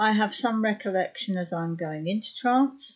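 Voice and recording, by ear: A woman talks at a moderate pace, her pitch medium and its variation ordinary.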